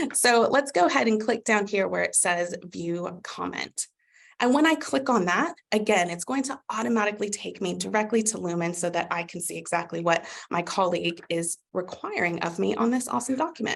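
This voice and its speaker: A woman speaks fairly quickly in an upbeat tone, her medium-pitched voice showing vocal fry and lively intonation. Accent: American. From USA. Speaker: customer success manager. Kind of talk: webinar product demo. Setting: live webinar. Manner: upbeat, conversational.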